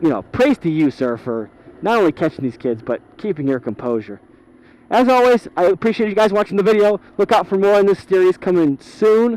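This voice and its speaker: A loud, animated man at a high pitch, with very wide pitch swings and a fairly quick pace, in a dry, close sound with no echo. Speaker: motorcycle vlogger. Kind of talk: rant. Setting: riding a motorcycle outdoors.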